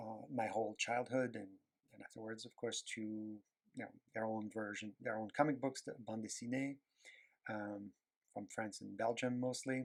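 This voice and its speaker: A man with a French accent speaks at a moderate pace and medium pitch, his intonation monotone and flat while his loudness swings widely. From Quebec, Canada. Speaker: animation artist. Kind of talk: casual drawing tutorial talk. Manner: hesitant, many fillers.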